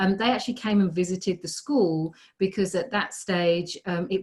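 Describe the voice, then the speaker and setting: A woman with a British accent, fairly low pitch and a somewhat breathy voice at a moderate pace. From United Kingdom. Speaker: positive psychology researcher and teacher. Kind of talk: casual interview. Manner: hesitant, many fillers.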